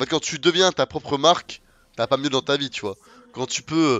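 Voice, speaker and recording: A man with an unremarkable speaking voice talks at a fairly quick pace. His pitch is fairly high, with ordinary pitch variation. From France, Lyon area and south. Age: 20s. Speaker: gaming streamer. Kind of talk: casual live-stream chat while gaming.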